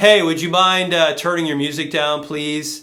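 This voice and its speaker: A man's resonant, put-on character voice, fairly high in pitch, at a moderate pace. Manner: polite, requesting.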